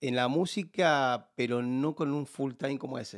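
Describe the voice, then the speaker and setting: On a very clean recording with a silent background, a man speaks at a fairly slow pace with a strong Argentine accent. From Buenos Aires, Argentina. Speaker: comedian and musician. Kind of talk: casual interview.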